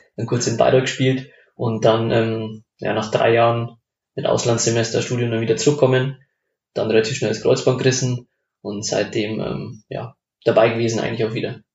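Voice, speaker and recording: Somewhat breathy and monotone, a man delivers flat intonation at a medium pitch and a moderate pace. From Upper Palatinate, Bavaria (Lengenfeld near Amberg). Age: 20s. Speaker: amateur football club member. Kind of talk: casual chat. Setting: home kitchen.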